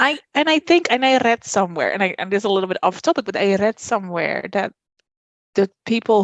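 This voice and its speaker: Woman with a Dutch accent and lively intonation. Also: dry, close sound with no echo. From Netherlands. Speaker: podcast guest, mother. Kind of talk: casual chat. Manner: halting.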